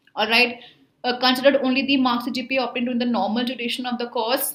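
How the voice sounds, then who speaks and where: A woman's high voice with a bright, sharp tone and audible room echo. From India. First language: Hindi. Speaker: online tutor for job placement exams. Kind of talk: tutorial. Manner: casual, with filler words.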